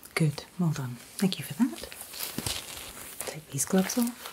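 A soft-spoken woman talks fairly slowly at a fairly low pitch in a gentle tone. Her loudness swings widely, and there is noticeable background noise. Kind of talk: role-play clinical instructions. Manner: soft, gentle ASMR murmur. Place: home room.

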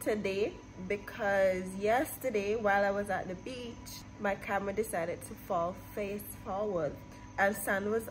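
A woman speaks at a fairly slow pace in a monotone, flat intonation. Clear music plays in the background. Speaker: vlogger. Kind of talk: casual vlog chat. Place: office. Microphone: phone near.

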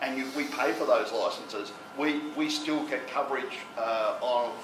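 The voice shows ordinary pitch variation, and audible room echo surrounds it. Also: man.

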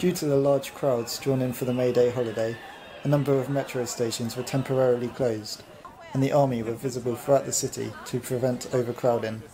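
Fairly quick delivery in a flat monotone over crowd noise in the background. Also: man. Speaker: travel vlog narrator. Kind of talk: travel narration voice-over.

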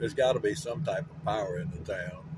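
Loud background noise surrounds a man's voice. The sound itself is dry, with no echo. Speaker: travel vlogger. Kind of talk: casual vlog chat. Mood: amazed, sightseeing. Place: car. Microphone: phone near.

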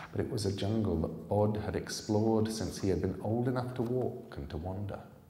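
With audible room echo, a man talks at a fairly low pitch and a fairly quick pace, using ordinary pitch variation. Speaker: author reading his own book. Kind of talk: live audiobook reading. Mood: calm, suspenseful storytelling. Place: hall. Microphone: podium.

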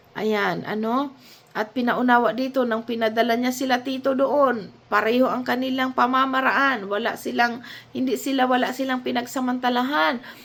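This woman's high-pitched voice moves at a moderate pace with fairly even intonation. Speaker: Bible teacher. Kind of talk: Bible study talk.

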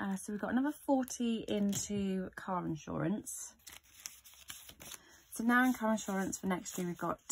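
A woman speaks with light background noise present. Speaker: budgeting vlogger. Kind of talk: casual vlog chat. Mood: cheerful, relaxed. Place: home room. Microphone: phone near.

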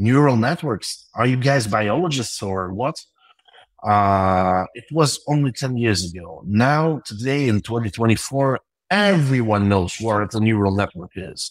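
A man in a Russian accent with a medium pitch, lively intonation and a fairly slow pace. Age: 30s. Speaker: tech entrepreneur. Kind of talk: interview. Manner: halting.

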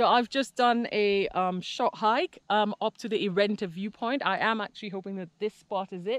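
The speech moves at a moderate pace with ordinary pitch variation, recorded with a dry sound and no echo. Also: woman. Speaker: travel vlogger. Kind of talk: casual vlog chat. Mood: excited, awed. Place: open country. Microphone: phone near.

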